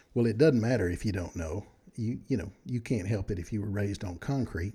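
In a very clean recording with a silent background, a man with an American accent speaks in a somewhat breathy voice with a warm, dark and mellow tone. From Texas. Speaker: podcast host. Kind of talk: casual solo podcast monologue. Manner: friendly, warm, conversational.

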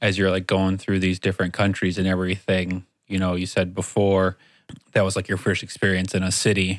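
Very deep and low, a man's voice moves at a fairly quick pace in a flat monotone, captured in a very clean recording with a silent background. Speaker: studio engineer interviewer. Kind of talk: casual interview chat. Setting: studio.

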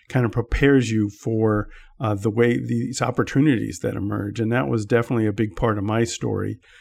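In an ordinary speaking voice, a man talks with an American accent at a medium pitch. His pace is moderate with ordinary pitch variation, in a very clean recording with a silent background. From US, Washington DC area. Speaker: tech journalist and publication founder. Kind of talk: interview.

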